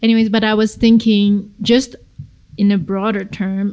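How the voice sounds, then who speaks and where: This woman has a dark, mellow tone and a medium pitch. She speaks at a moderate pace. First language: not English. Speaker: podcast host. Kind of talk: casual chat.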